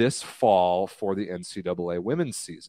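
A man speaks in a normal speaking voice with ordinary pitch variation, the sound dry and close with no echo over a quiet background. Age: 20s. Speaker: volleyball podcast co-host. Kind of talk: casual chat. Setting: live stream.

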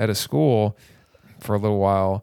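A fairly low-pitched man with an American accent at a fairly quick pace, on a very clean recording with a silent background. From Boston, Massachusetts. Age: 40s. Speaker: stand-up comedian. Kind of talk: casual chat.

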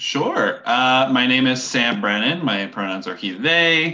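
A man's bright, sharp tone with lively intonation over a quiet background. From Ontario, Canada. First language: French. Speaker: middle school teacher. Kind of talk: casual interview. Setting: remote call.

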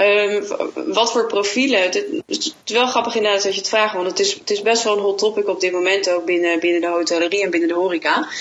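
A woman's medium-pitched voice at a fairly quick pace, very even in loudness, with ordinary pitch variation and noticeable background noise. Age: 30s. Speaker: hotel sales manager. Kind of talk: interview. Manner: hesitant, many fillers and repetitions.

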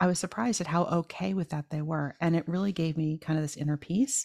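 A woman with an American accent speaks in an ordinary speaking voice at a fairly low pitch with ordinary pitch variation. Her pace is fairly quick, and the sound is dry and close with no echo. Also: very clean recording, silent background. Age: 50s. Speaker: podcast host and shepherdess farmer. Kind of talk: casual interview chat.

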